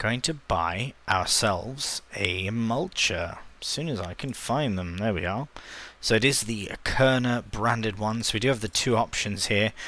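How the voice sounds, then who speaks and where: In a British accent, a man speaks with a bright, sharp tone on a very clean recording with a silent background. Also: medium pitch for a man, ordinary pitch variation. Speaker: gaming YouTuber. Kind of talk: let's play commentary. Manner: quiet; casual, hesitant with fillers.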